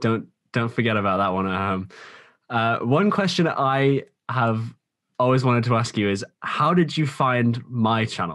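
Against a quiet background, a man at medium pitch talks at a fairly slow pace with lively intonation. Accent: British. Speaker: podcast host and small YouTuber. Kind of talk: casual podcast interview.

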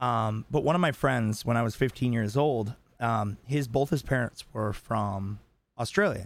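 In an unremarkable speaking voice, a man talks at a medium pitch that varies in an ordinary way. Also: fairly slow pace. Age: 30s. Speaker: podcast co-host. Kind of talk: casual chat.

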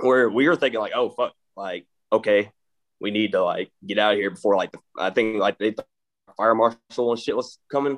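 Recorded with a dry, close sound and no echo, a man speaks with an East Texas accent. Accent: East Texas drawl. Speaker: metal band member. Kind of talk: casual interview chat.

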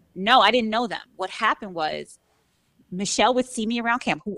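A woman with an American accent is heard in a dry, close recording with no echo. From Brooklyn, New York. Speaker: podcasting coach. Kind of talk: casual chat.

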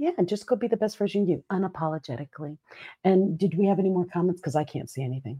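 In a dark, mellow, somewhat breathy voice of fairly low pitch, a woman speaks at a very fast pace, the sound dry and close with no echo over a quiet background. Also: lively intonation. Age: 50s. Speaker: keynote speaker and podcast co-host. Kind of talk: casual chat. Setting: live stream. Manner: laughs often.

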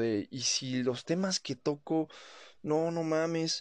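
In a Mexican accent, a man speaks at a very slow pace with fairly even intonation. The sound is dry and close with no echo, and the background is quiet. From Mexico. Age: 20s. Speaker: podcaster. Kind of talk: casual monologue. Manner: casual, colloquial.

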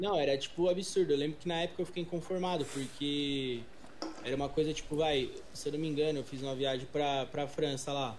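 A plain, everyday voice from a man, fairly high in pitch, with fairly even intonation and a fairly quick pace. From Brazil, São Paulo. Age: 20s. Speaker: English teacher and youtuber. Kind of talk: casual chat. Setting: remote call.

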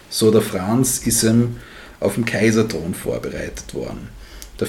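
There's audible room echo as a man speaks at a fairly low pitch with vocal fry and a fairly slow pace. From Styria, Austria. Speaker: history podcast co-host. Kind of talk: casual history storytelling.

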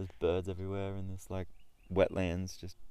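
A man speaks fairly quickly with an Australian accent. His pitch is very deep and low. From Newcastle, New South Wales, Australia. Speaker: wakeboarder. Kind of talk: casual chat. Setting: outdoors.

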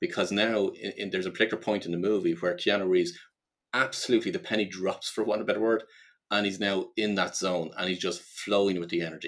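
Talking at a very fast pace, a man with a Dublin accent keeps a fairly low pitch and a monotone, flat intonation. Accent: Irish (Dublin). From Ireland. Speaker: life purpose coach and business consultant. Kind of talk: podcast interview. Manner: halting, many repetitions and fillers.

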